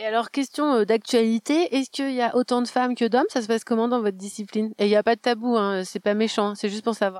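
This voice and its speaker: A woman's very fast, fairly high-pitched speech with hardly any pauses and ordinary pitch variation, dry and close with no echo, on a very clean recording with a silent background. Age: 30s. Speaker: podcast host and reporter. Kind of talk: on-site audio documentary with interviews. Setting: outdoors at a festival.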